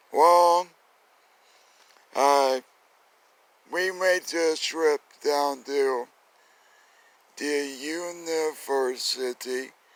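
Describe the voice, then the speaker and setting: A man's fairly high voice at a very slow pace, with fairly even intonation. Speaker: ballroom dancer and instructor. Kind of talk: personal testimony.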